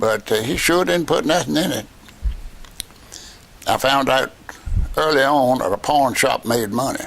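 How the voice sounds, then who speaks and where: A man with a Virginia accent talks in a fairly high pitch over noticeable background noise. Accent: Southern US (Virginia). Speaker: war veteran. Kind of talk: interview answer. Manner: casual, storytelling.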